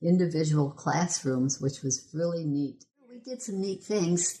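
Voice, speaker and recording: The speaker has an Upper Midwest accent and ordinary pitch variation. The delivery comes at a fairly slow pace. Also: woman. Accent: Upper Midwest American. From Michigan. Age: 70s. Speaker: local history volunteer. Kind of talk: oral history interview.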